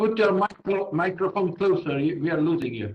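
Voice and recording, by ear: Here a man speaks at a high pitch for a man. His intonation is lively and his pace moderate.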